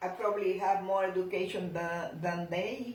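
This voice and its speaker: A woman talks at a very slow pace with a non-native accent and medium pitch. Audible room echo surrounds her voice. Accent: foreign. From outside the US, non-English-speaking country. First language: not English. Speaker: grandmother interviewee. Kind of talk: casual family Q&A interview. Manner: halting.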